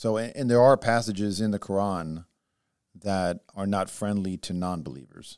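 In a dry, close sound with no echo, a man with a fairly low pitch and an unremarkable speaking voice talks at a moderate pace with ordinary pitch variation. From born in Israel, raised in the US from age seven. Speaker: podcast co-host. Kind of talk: casual discussion.

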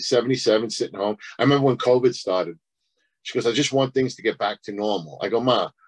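An ordinary speaking voice from a man at medium pitch, with ordinary pitch variation, a fairly quick pace and a dry, close sound with no echo. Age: 50s. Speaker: stand-up comedian. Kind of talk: casual chat.

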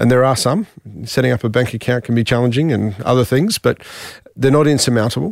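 Speaking with an Australian accent at a very fast pace, a man keeps very even loudness and ordinary pitch variation in a dry, close sound with no echo. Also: medium pitch for a man. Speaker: chamber of commerce chief executive. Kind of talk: interview.

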